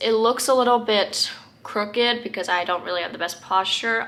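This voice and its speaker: Noticeable background noise under a woman's speech. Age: young. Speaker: lifestyle vlogger. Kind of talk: casual vlog talk. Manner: many filler ums.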